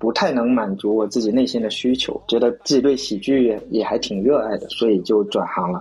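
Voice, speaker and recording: A man talks at a moderate tempo with noticeable noise in the background. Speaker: stand-up comedian. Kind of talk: casual chat.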